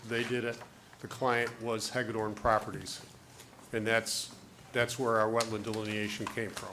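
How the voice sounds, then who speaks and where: A man speaks in a monotone with flat intonation at a moderate pace, leaving long, frequent pauses. Noticeable background noise is present. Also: medium pitch for a man. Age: 70s. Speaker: project consultant presenting to board. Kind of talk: public meeting discussion.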